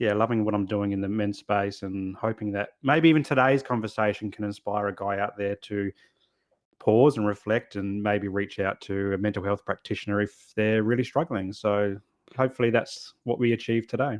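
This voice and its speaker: In an Australian accent, a man speaks at a moderate pace with fairly even intonation. The sound is dry and close with no echo, and the background is quiet. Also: fairly low pitch for a man. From Australia, Adelaide (South Australia). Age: 40s. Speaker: men's therapist, podcast host. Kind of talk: casual podcast interview. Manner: halting, repeats words.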